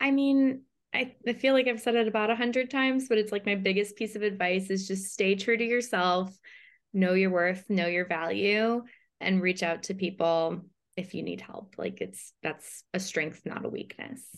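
A woman with an American accent speaks in an unremarkable speaking voice at a medium pitch and moderate pace, with ordinary pitch variation and a quiet background. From US Midwest, Chicago. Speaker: customer experience director. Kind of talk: casual interview.

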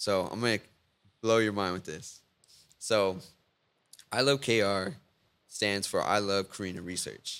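In a very clean recording with a silent background, a man with a Texan accent speaks at fairly low pitch with ordinary pitch variation and long, frequent pauses. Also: fairly slow pace. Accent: Texan American. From Victoria, Texas. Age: 20s. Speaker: web designer and entrepreneur. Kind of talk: casual chat.

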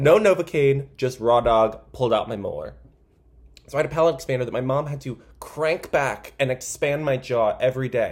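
Animated in tone, a man speaks in a fairly high, somewhat breathy voice at a moderate pace with ordinary pitch variation. The recording is very clean, with a silent background. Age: 20s. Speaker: comedy podcast host. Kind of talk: casual comedic monologue.

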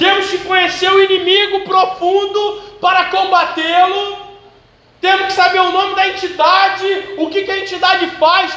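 A man uses a raised, projected voice at an extremely high pitch. His intonation is monotone and flat, at a moderate pace. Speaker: preacher. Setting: church. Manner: conversational, direct address to the congregation.

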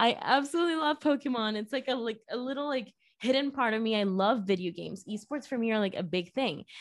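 On a very clean recording with a silent background, a woman with a Spanish accent speaks very fast at a fairly high pitch, her intonation lively. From Venezuela. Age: 20s. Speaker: viral marketer. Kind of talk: casual interview chat.

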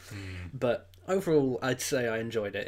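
A man with an English accent and medium pitch at a moderate pace, in a very clean recording with a silent background. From England. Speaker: film review podcaster. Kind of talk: casual chat.

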